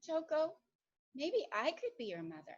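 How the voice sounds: In a put-on character voice, a woman speaks at a fairly slow pace with a high pitch and very wide pitch swings.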